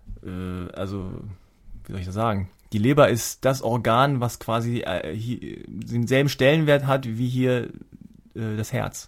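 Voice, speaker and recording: Recorded very cleanly with a silent background, a man speaks at a fairly slow pace with long, frequent pauses, his medium pitch showing ordinary variation. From Germany, Hannover. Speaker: podcast host. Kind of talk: casual chat. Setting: studio.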